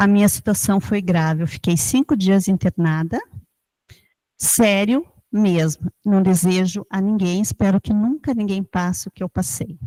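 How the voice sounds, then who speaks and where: In a very clean recording with a silent background and a dry, close sound with no echo, a woman speaks at a fairly slow pace and medium pitch, her dark, mellow tone somewhat breathy and her intonation lively. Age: 60s. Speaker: chronic pain patient. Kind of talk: testimony.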